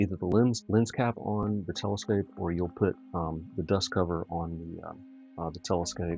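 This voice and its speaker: A soft-spoken man's very deep, low voice, fairly slow, with ordinary pitch variation and music in the background. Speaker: astrophotographer livestreamer. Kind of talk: live tutorial stream. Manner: halting with many fillers.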